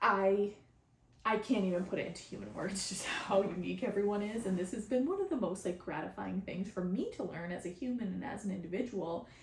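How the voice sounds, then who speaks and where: A woman talks at a fairly quick pace with a medium pitch and ordinary pitch variation. Noticeable background noise and audible room echo come through. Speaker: spiritual channeler and podcast host. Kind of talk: casual podcast monologue. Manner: halting, many repetitions.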